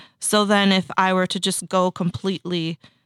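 In a very clean recording with a silent background and a dry, close sound with no echo, a woman with an American accent has an unremarkable speaking voice, fairly low pitch and fairly even intonation. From northern Minnesota, US. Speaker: fashion event co-founder and marketing agency CEO, artist. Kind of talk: casual interview chat. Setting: studio.

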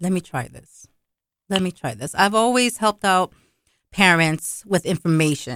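A woman with an unremarkable speaking voice and medium pitch talks at a moderate pace with lively intonation and big swings in loudness. The recording is very clean, with a silent background. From Brooklyn, New York. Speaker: school committee member. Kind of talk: interview.

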